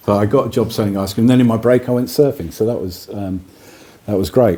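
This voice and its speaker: Over noticeable background noise, a man of medium pitch talks at a very fast pace with ordinary pitch variation. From Midlands and Cornwall, England. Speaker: singer-songwriter. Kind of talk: radio interview. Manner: halting.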